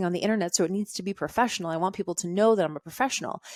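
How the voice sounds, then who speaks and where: A woman with a fairly low pitch speaks in an animated tone with ordinary pitch variation, her dry, close sound free of echo on a very clean recording with a silent background. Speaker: podcast host, online fitness business coach. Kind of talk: solo podcast monologue. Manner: fast.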